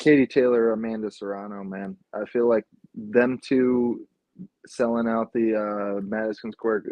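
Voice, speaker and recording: Mumbling at a fairly slow pace, a man keeps a medium pitch and a monotone, flat intonation. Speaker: podcast co-host. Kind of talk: casual chat.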